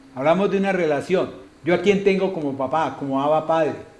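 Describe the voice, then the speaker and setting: Audible room echo around fairly quick talk with ordinary pitch variation. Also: man. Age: 70s. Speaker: pastor. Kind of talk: sermon. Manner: animated, rhetorical questions.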